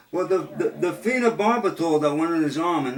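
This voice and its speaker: A man talks fairly quickly with ordinary pitch movement while noticeable background noise carries on around him. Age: 60s. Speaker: dog owner talking with an old friend. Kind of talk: casual phone chat.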